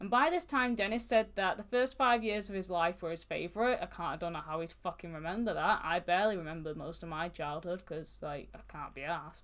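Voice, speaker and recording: Speaking fairly quickly with hardly any pauses, a woman has a fairly low pitch and a northern English accent. Her intonation is lively. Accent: mild northern English. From northern England (Manchester). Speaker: true crime podcast co-host. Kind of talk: casual podcast chat, recounting case.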